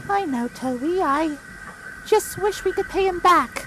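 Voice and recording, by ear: An extremely high-pitched put-on character voice talks at a moderate pace over clear background noise.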